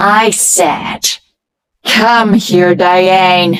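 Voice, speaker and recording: The speaker puts on a character voice. Pitch lands in the middle range. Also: female-sounding voice. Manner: commanding, menacing.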